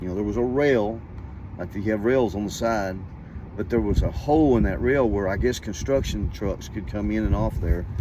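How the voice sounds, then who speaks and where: A man's fairly low voice in an American accent, at a moderate pace with lively intonation and audible room echo. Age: 60s. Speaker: storyteller. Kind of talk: casual storytelling. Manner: animated.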